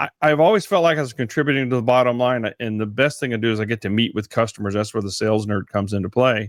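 This speaker talks at a very fast pace with a Texan accent and ordinary pitch variation. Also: man. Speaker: podcaster and speaker. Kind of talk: casual interview.

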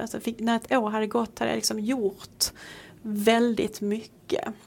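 A woman's fairly high voice at a fairly slow pace. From Sweden. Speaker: priest. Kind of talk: casual chat.

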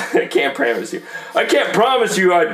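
A man at a fairly slow pace with ordinary pitch variation, music in the background. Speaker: podcast host and rapper. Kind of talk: casual banter podcast, comedic rapping.

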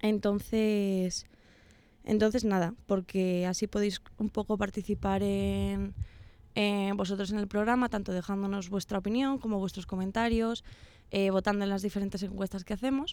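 With a dark, mellow tone and medium pitch, a woman speaks at a moderate pace in a monotone, flat intonation on a very clean recording with a silent background. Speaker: university radio host. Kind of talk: casual chat. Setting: radio studio. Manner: hesitant, many fillers.

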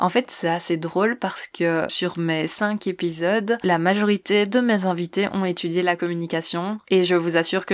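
A woman speaks in a plain, everyday voice at a moderate pace. Her pitch is fairly low and her intonation fairly even. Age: 20s. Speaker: podcaster. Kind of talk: self-presentation interview.

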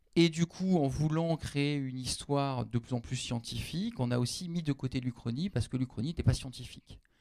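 A man's dark, mellow voice, fairly high-pitched for a man, at a moderate pace with ordinary pitch variation and hardly any pauses. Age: 40s. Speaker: university lecturer and novelist. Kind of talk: public panel discussion. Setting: stage with audience.

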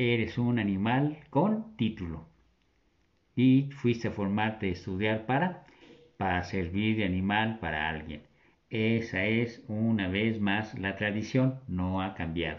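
Speaking at a very slow pace, a man uses a fairly low pitch with ordinary variation. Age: 70s. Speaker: religious commentator. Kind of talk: casual talk on religious themes. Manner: animated.

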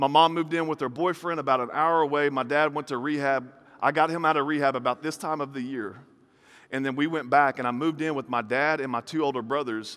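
Speaking very fast in a Southern US accent, a man with a fairly high pitch sounds animated, captured in a very clean recording over a silent background. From US South. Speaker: preacher. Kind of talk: sermon.

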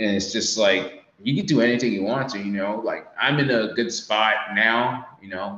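A man with an American accent has a normal speaking voice at medium pitch. He talks at a moderate pace with ordinary pitch variation. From United States. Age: 20s. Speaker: Navy sailor and social media creator. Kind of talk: casual chat.

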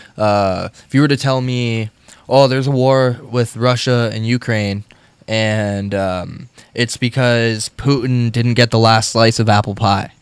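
This man has an ordinary speaking voice at medium pitch. He talks at a fairly slow pace with fairly even intonation. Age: 20s. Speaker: musician and radio host. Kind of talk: casual chat.

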